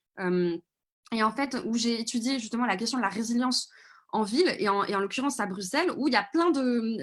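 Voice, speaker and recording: Her voice is fairly high, with ordinary pitch variation. The woman talks at a fairly quick pace. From Paris region, France. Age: 20s. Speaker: video reporter and activist. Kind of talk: live Q&A answer. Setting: video call livestream. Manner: hesitant, many fillers.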